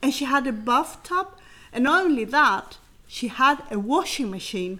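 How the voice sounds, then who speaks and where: Her intonation is lively as the woman speaks at a moderate pace. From southern Sweden (Helsingborg), early childhood in rural southern Chile. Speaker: adoptee and co-founder of an adoptee network. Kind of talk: personal life story.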